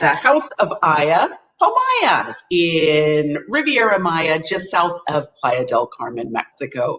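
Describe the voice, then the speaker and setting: Speaking at a very slow pace with a Canadian accent, a woman shows very wide pitch swings. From Vancouver, Canada. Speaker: hotel sales representative. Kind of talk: interview.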